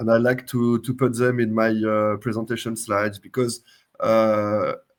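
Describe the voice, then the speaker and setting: Speaking with a French accent at a moderate pace, a man at medium pitch keeps a monotone, flat intonation and very even loudness. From France. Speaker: software company CTO and open source creator. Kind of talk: interview. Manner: hesitant, many uh fillers.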